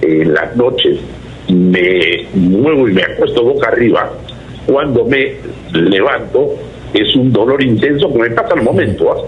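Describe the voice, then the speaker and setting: There is noticeable background noise and audible room echo as a man talks at a fairly slow pace. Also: very even loudness. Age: 70s. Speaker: caller. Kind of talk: call-in question to radio/TV show. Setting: phone call. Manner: halting.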